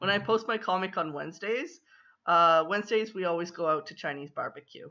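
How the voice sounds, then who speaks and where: The speaker has a Canadian accent, and the background is quiet. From Canada (Ontario). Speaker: comic artist and livestreamer. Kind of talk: livestream chat. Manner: halting, many fillers. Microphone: built-in laptop mic.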